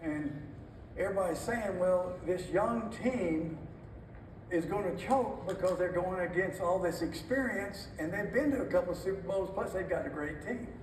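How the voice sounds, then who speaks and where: There is noticeable background noise as a man speaks at a high pitch and a moderate pace, with ordinary pitch variation. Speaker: former NFL head coach, motivational keynote speaker. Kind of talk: keynote speech. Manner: high-energy, motivational.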